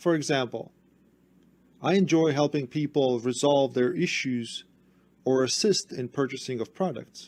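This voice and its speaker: At a fairly slow pace, a man speaks in a fairly high voice with ordinary pitch variation. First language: not English. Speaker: tech support youtuber. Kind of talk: tutorial.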